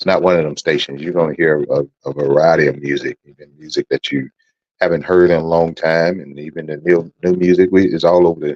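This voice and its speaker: A man with a very deep, low pitch talks at a fairly quick pace in a monotone, flat way, his loudness swinging widely in a dry, close sound with no echo. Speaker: internet radio talk show host. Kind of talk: radio talk show monologue. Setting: internet radio studio. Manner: conversational, repetitive; fast.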